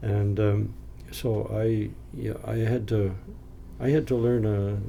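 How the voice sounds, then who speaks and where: A man talks at a very slow pace in a fairly low pitch with ordinary pitch variation. Audible room echo surrounds his voice. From New England, Maine (Down East). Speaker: retired missionary and educator. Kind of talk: interview. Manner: halting.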